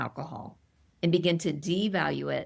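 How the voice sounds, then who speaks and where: On a very clean recording with a silent background, a woman speaks with a fairly low pitch and vocal fry. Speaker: author and sobriety coach for women. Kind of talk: interview conversation. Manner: animated.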